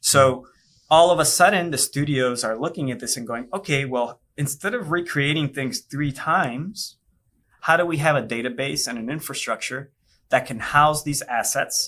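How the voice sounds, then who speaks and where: With a Spanish accent, a man talks at a moderate pace in a bright, sharp tone. His fairly high pitch shows ordinary variation. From Puerto Rico. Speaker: virtual production studio executive. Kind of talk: podcast interview. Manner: casual, conversational.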